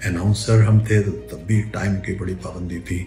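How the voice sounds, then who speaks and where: A man's very deep, low voice with lively intonation, music playing in the background. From Pakistan. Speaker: newscaster; radio announcer. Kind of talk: interview answer.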